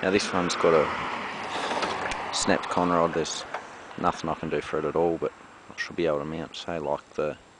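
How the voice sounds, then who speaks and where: Noticeable background noise sits behind a man's very deep, low voice, and the sound is dry with no echo. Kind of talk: casual vlog chat. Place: garden. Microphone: phone near.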